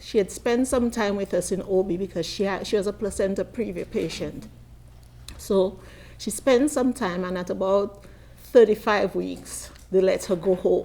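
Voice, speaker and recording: Here a woman speaks at a medium pitch. Her pace is moderate, with ordinary pitch variation. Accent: Caribbean. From Caribbean. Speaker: midwife and nurse. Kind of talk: conference panel talk. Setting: conference.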